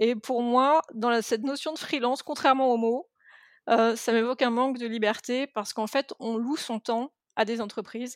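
The recording is very clean and dry, close with no echo and a silent background. A woman with a high pitch talks at a moderate pace with fairly even intonation. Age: 40s. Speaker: entrepreneur and web marketing consultant. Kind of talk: casual interview conversation.

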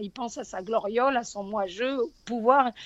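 Against a quiet background, the speaker has a southern French accent and a fairly slow pace, with ordinary pitch variation. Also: woman. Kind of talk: religious talk radio.

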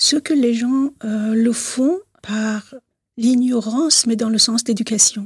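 Heard in a dry, close sound with no echo, a woman with a Persian accent speaks at a very slow pace. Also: fairly high pitch for a woman, ordinary pitch variation. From Iran, Tehran. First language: Persian (speaking French). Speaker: consultant and activist. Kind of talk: interview.

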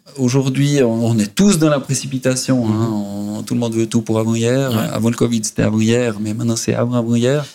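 Noticeable background noise sits behind a man speaking at a moderate pace. His medium pitch carries fairly even intonation. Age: 50s. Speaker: real estate company CEO. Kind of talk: interview.

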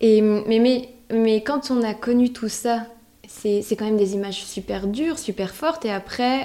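A woman's fairly high voice at a fairly slow pace, with fairly even intonation and noticeable background noise. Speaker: podcast host interviewing her great-grandmother. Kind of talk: casual family interview.

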